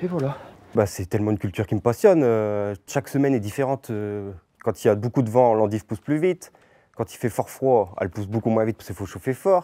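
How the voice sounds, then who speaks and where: A man's medium-pitched voice at a very fast pace, dark and mellow in tone, with ordinary pitch variation and big swings in loudness, dry and close with no echo, on a very clean recording with a silent background. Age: 30s. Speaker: farmer. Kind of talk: interview testimony. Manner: halting, many fillers and restarts.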